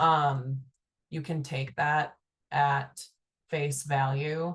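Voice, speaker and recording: A woman speaks against a quiet background. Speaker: state agency presenter. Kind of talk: webinar Q&A. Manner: hesitant, many fillers.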